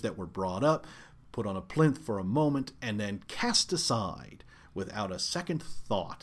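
Lively intonation carries a man's medium-pitched voice on a very clean recording with a silent background. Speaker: podcast host. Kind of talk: angry rant, opinionated monologue. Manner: fired up, emphatic, insistent; repetitive, stumbling at times.

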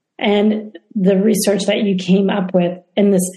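A woman of medium pitch with a dark, mellow tone, somewhat breathy. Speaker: interviewer, speaker series host. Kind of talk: interview conversation.

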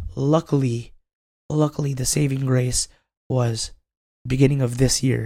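A man speaks in a monotone, flat intonation. His voice is somewhat breathy, with long, frequent pauses. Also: medium pitch for a man. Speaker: co-host. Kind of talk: casual podcast chat.

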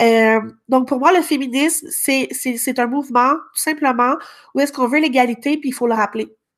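The recording is very clean, the background silent. A woman with a high pitch speaks at a moderate pace with fairly even intonation. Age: young. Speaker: podcast co-host. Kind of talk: casual chat.

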